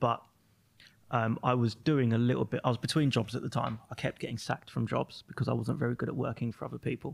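A man talks at a very fast pace with fairly even intonation and vocal fry. His pitch sits in the medium range. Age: 30s. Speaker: magazine owner. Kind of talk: casual chat. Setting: studio.

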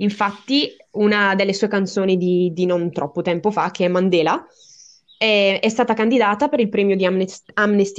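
A woman with an unremarkable speaking voice, medium pitch, fairly even intonation and a fairly quick pace. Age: 20s. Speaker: podcast listener and guest. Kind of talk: casual interview. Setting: online call.

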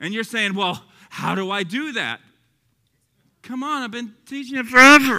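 A man's raised, projected voice at an extremely high pitch, bright and sharp and animated in tone, with an American accent, moderate pace, ordinary pitch variation, and long, frequent pauses. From Texas. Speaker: Bible teacher. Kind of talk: sermon-style Bible teaching. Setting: evening teaching to a live audience. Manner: animated, humorous.

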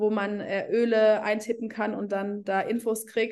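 An ordinary speaking voice from a woman, fairly high in pitch, at a fairly slow pace. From Germany. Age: 30s. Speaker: essential oils network marketing leader. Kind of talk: casual interview.

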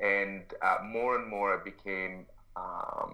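Audible room echo hangs on the voice. A man is talking. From Egypt. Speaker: expo organizer, social entrepreneur. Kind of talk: interview. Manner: halting, many fillers.

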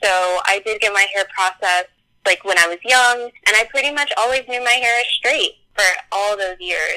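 A woman with an American accent speaks at a moderate pace and medium pitch. Her tone is bright and sharp, with ordinary pitch variation. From US South, North Carolina. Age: 20s. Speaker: podcast guest. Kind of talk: casual chat.

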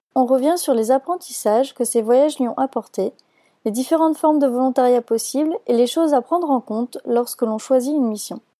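A woman speaks at a fairly quick pace in a high voice with a dark, mellow tone, ordinary pitch variation, and a dry, close sound with no echo. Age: 30s. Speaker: podcast host. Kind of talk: scripted intro.

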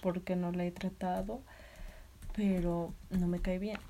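A woman with a medium-pitched, somewhat breathy voice and a dark, mellow tone speaks very slowly in a flat monotone. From Mexico, Tlaxcala. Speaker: nursing student vlogger. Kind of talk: personal vlog monologue.

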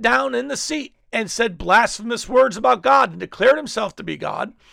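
A man projects his raised voice at a high pitch. His tone is bright and sharp, and his pitch swings very widely. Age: 50s. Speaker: apostle and preacher hosting a weekly teaching show. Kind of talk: solo teaching monologue. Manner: casual, halting with fillers.

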